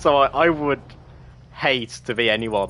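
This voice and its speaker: Speaking with a British accent, a man has a bright, sharp tone and ordinary pitch variation. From UK. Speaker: gaming streamer. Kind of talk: casual live stream commentary. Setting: live game stream.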